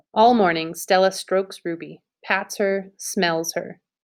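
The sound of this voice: Quiet background behind an unforced reading voice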